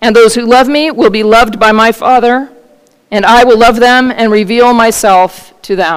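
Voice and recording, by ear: The text is read aloud in a natural voice, and the intonation stays fairly even.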